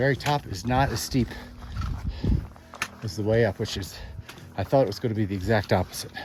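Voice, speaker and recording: Long, frequent pauses from a man at a fairly quick pace, with big swings in loudness, ordinary pitch variation, and noticeable background noise. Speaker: solo backpacker vlogger. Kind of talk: outdoor vlog narration. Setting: outdoors, high mountain pass.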